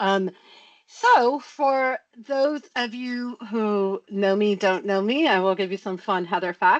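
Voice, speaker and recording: A woman's lively intonation in an American accent, dry and close with no echo. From US West Coast. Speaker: tech practice lead and speaker. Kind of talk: conference talk to online user group. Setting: online video call. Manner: casual, chatty.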